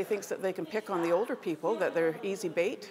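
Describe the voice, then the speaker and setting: Over crowd noise in the background, a woman of medium pitch talks at a very fast pace. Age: old. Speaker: retired nurse, self-defense student. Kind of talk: interview.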